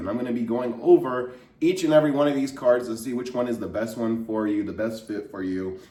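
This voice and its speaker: A man at medium pitch talks at a fairly quick pace with ordinary pitch variation. Both audible room echo and noticeable background noise are present. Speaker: personal finance YouTuber. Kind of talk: tutorial. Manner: casual.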